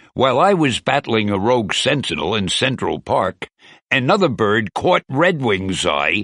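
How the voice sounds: A natural reading voice is heard. Little else sounds in the quiet background.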